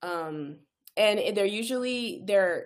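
This woman has a plain, everyday voice with an American accent. She talks at a moderate pace with ordinary pitch variation. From California, Inland Empire. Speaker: pharmacist and anxiety coach. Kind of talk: casual interview chat.

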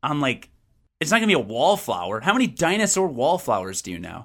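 Pitched fairly high, a man speaks at a fairly quick pace with vocal fry and very wide pitch swings. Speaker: video game podcast host. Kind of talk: casual chat. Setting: video call. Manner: rambling, goes on tangents.

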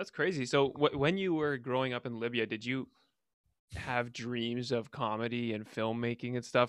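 In a plain, everyday voice, a man speaks at medium pitch with ordinary pitch variation against a quiet background. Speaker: podcast host. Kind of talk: casual chat.

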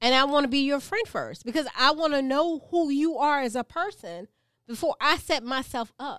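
A high-pitched woman's voice in an American accent, lively in intonation, on a very clean recording with a silent background. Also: moderate pace. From US South, Gullah Geechee. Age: 40s. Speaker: podcast co-host. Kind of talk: casual chat.

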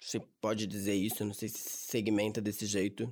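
A man with a São Paulo accent at a fairly slow pace, on a very clean recording with a silent background. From Brazil, São Paulo ABC region. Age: young. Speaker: young worker. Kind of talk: casual interview. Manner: casual slangy.

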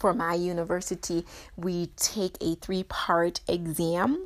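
A woman with a Jamaican accent speaks in a warm tone with monotone, flat intonation. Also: very clean recording, silent background. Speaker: podcast host, therapist and PhD student. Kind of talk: guided mindfulness reflection; casual solo monologue. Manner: warm, encouraging.

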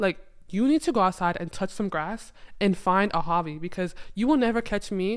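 In a very clean recording with a silent background, a woman with a medium pitch has a normal speaking voice. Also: lively intonation, moderate pace. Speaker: former college basketball player. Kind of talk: casual chat.

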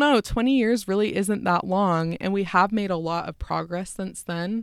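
Speaking at a fairly slow pace in an American accent, a woman uses a medium pitch and ordinary pitch variation on a very clean recording with a silent background. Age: 20s. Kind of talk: casual chat. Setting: recording at home.

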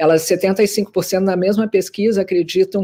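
The tone is dark and mellow. The pace is fairly slow. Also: woman. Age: 50s. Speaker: journalist and research executive. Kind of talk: webinar panel discussion. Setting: live video webinar.

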